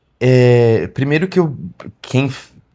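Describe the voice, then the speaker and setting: A man speaks with a northeastern Brazilian accent. His intonation stays fairly even. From Brazil, Pernambuco. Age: 40s. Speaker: singer-songwriter. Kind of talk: interview.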